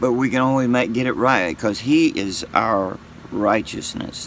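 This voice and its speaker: Noticeable background noise behind a man of medium pitch speaking at a fairly slow pace. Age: 60s. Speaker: YouTuber sharing faith. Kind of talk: casual monologue. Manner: halting.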